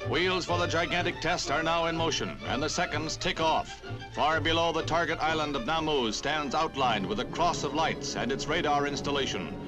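Speech moves at a moderate pace with hardly any pauses and very even loudness. Pitch variation is ordinary, and music plays in the background. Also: man, fairly high pitch for a man. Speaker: newsreel narrator. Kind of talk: vintage newsreel narration.

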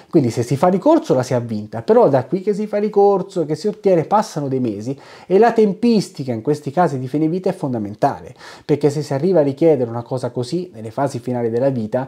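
A man speaks very fast in a dark, mellow tone, his pitch swinging very widely. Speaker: philosophy educator and bioethics committee member. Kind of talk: educational video monologue. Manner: hesitant, many fillers.

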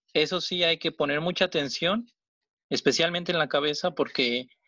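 A man speaks at a fairly slow pace in a fairly high voice with vocal fry and a bright, sharp tone. The sound is dry and close with no echo, against a quiet background. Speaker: origami teacher. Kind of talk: tutorial. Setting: video call.

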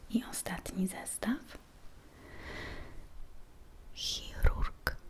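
A woman whispers at a very slow pace. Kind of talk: role-play medical exam, soft-spoken. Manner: soft, hushed ASMR speech. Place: kitchen. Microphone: phone near.

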